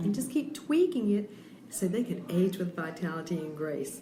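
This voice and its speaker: Over noticeable background noise and audible room echo, a woman speaks at a moderate pace and a medium pitch. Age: 60s. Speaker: health coach. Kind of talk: radio interview. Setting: on location at a bakery.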